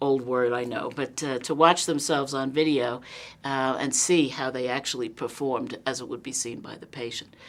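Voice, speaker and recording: A woman with a New York accent and a very deep, low pitch speaks at a moderate pace with fairly even intonation in a very clean recording with a silent background. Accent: New York, noticeable. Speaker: nursing college dean. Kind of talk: interview. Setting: simulation lab on campus.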